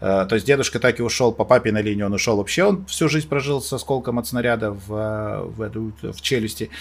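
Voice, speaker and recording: At a fairly quick pace with hardly any pauses, a man speaks at a medium pitch with ordinary pitch variation on a very clean recording with a silent background. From Moldova. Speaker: event host and TV presenter. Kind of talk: casual chat. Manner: animated.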